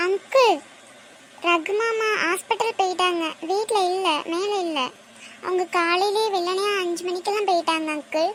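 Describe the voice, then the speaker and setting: Over clear background noise, a put-on character voice moves at a fairly slow pace. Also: woman, extremely high pitch for a woman, fairly even intonation. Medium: voice reel.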